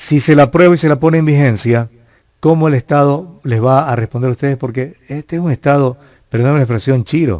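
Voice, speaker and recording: Here is a man with an ordinary speaking voice at a fairly high pitch and ordinary pitch variation. He talks at a fairly quick pace with a dry, close sound and no echo. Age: 60s. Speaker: news show host. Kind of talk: heated interview. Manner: interrupting, combative.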